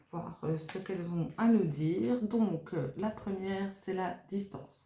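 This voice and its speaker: A woman's speech comes very slowly, with ordinary pitch variation, against noticeable background noise. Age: 50s. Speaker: tarot card reader / medium. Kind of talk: tarot reading monologue. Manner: halting, many hesitations.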